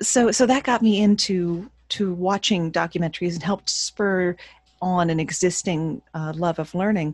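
A woman speaks in a normal speaking voice, medium in pitch with ordinary pitch variation at a moderate pace. The sound is dry and close with no echo, and the background is quiet. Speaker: burlesque performer, author and voice-over artist. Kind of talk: casual interview.

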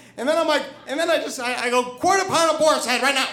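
A man's raised, projected voice carries over noticeable background noise, with ordinary pitch variation. Audible echo fills the room. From New Hampshire. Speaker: storyteller. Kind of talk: live storytelling. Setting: stage with audience. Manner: halting, repeats words.

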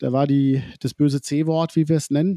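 A man's fairly high voice has a dark, mellow tone and moves at a fairly slow pace, with a dry, close sound and no echo. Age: 40s. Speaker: agency founder, digitalization consultant. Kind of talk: casual interview.

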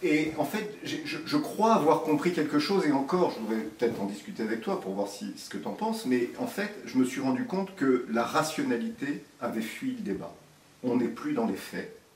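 A man's fairly high voice with very wide pitch swings at a moderate pace, plus audible room echo and noticeable background noise. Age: 50s. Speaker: surgeon. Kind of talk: interview.

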